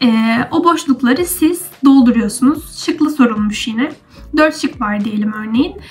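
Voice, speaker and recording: A woman with lively intonation at a moderate pace. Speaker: university student vlogger. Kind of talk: casual explanatory vlog. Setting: at home.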